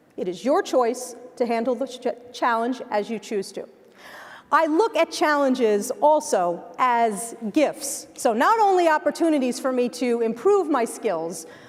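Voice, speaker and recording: With a New Jersey accent, a woman speaks at a fairly slow pace in a high voice, her pitch swinging very widely. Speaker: keynote speaker. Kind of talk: keynote speech. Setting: stage with audience. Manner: animated.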